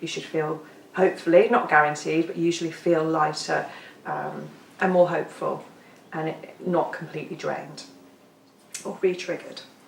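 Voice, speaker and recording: The delivery is monotone and flat, with long, frequent pauses and big swings in loudness. Audible room echo and noticeable background noise fill the recording. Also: woman, fairly low pitch for a woman. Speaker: EFT tapping practitioner. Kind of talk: workshop talk. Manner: fast.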